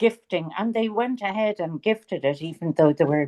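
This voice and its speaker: A woman with a Dublin accent and a dark, mellow tone speaks with lively intonation, recorded with a dry, close sound and no echo. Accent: Irish, Dublin. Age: 70s. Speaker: author. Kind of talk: interview.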